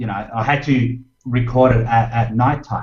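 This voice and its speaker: This man has an Australian accent and a medium-pitched voice. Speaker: Excel trainer and blogger. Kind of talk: interview.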